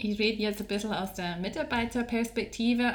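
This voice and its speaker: A woman speaks with a Scottish accent at a medium pitch. Her pace is fairly quick, and her pitch varies in an ordinary way. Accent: English-speaking (Scottish) accent in German. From Scotland. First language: English (speaking German). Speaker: HR training specialist. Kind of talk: interview.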